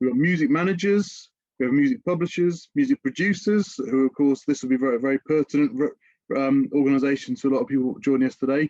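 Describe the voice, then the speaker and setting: With a British accent, a man of fairly high pitch talks at a fairly quick pace with lively intonation, in dry, close sound with no echo. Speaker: music industry education director. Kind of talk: webinar presentation. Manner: fast; hesitant with fillers.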